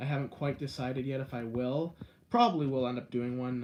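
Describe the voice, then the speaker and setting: With a Canadian accent, a man speaks at medium pitch. His intonation is monotone and flat. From Canada, Guelph, Ontario. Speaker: live streamer, video creator. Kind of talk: live stream chat with viewers. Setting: indoors, live stream. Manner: fast.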